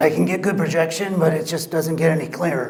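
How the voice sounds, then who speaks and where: Putting on a character voice, a man speaks raspy and very fast at a fairly high pitch, with monotone, flat intonation and audible echo. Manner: demonstrating a rough voice.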